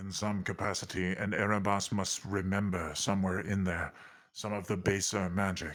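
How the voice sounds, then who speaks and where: A man's put-on character voice, fairly low in pitch, monotone and flat, at a moderate pace, in a very clean recording with a silent background. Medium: actual play. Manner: measured, grave.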